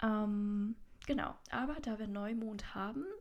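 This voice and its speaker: Somewhat breathy, the woman's voice sits at a fairly high pitch. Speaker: podcast host, soul coach. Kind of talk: casual solo monologue.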